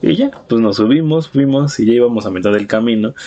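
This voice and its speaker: A man with a Mexican accent speaks over noticeable background noise. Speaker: podcast host. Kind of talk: casual chat. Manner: animated.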